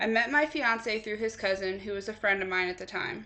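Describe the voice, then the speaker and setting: A plain, everyday voice with fairly even intonation at a fairly quick pace. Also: woman. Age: 20s. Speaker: college student. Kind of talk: class speech.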